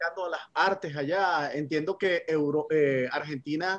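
This man has an ordinary speaking voice, fairly high in pitch, and he talks at a fairly slow pace with fairly even intonation. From Venezuela. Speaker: radio co-host. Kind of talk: radio interview.

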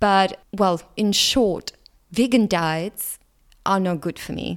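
With a Russian accent, a woman speaks at a very slow pace, her medium pitch showing ordinary variation. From Latvia. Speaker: podcast host. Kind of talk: solo monologue podcast.

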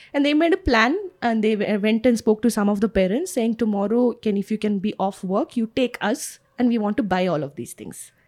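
With an Indian accent, a woman speaks at a fairly quick pace in a fairly high pitch with ordinary pitch variation, the sound dry and close with no echo. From India, Kerala family, grew up outside Kerala. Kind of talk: casual interview. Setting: recorded outdoors next to a park.

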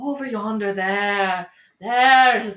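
A put-on character voice speaks at a fairly high pitch. The pace is very slow.

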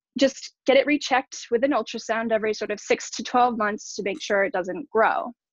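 A woman with a normal speaking voice and fairly high pitch talks at a moderate pace with fairly even intonation, in a dry, close sound with no echo. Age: 30s. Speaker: former yacht crew. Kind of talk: testimony.

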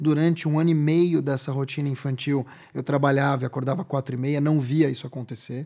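A dark, mellow tone in a monotone, flat delivery at a fairly quick pace, in a very clean recording with a silent background. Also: man, fairly high pitch for a man. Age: 40s. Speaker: journalist and communications strategist. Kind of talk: interview.

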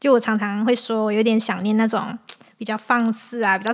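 Her voice is fairly high for a woman, delivered in a monotone with flat intonation. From Malaysia. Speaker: podcast host. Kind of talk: casual chat.

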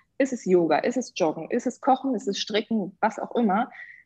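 Her intonation is lively and her pace fairly quick. The woman's tone is dark and mellow, somewhat breathy. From Hannover, northern Germany. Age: 30s. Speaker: business coach and yoga teacher. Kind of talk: podcast interview.

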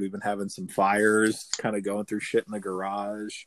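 This is a man with a fairly low voice and an American accent, talking at a fairly quick pace. The recording is very clean, with a silent background. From New Jersey. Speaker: podcast host. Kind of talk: casual comedic chat, crude humor. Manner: joking, irreverent, animated.

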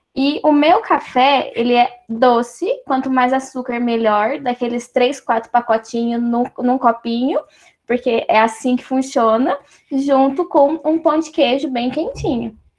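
Pitch varies in an ordinary way as the speaker goes at a fairly slow pace. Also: woman, high pitch for a woman. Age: 20s. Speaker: computer engineering student, program ambassador. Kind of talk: casual group video chat. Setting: video call.

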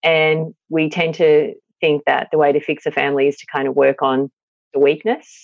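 At a moderate pace and in an Australian accent, the speaker keeps a fairly even intonation but shows big swings in loudness. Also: woman, very deep, low pitch for a woman. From regional Victoria, Australia. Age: 40s. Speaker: psychologist and parenting author. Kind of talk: interview.

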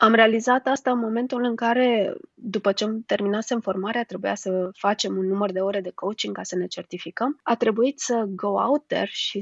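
A woman speaks in a plain, everyday voice with ordinary pitch variation. Her pace is moderate. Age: 30s. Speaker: HR manager and coach. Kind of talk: interview.

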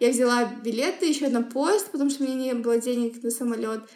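A woman with a high pitch and ordinary pitch variation talks fairly quickly. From Kazakhstan, Semey. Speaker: human rights professional. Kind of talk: interview. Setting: podcast recording.

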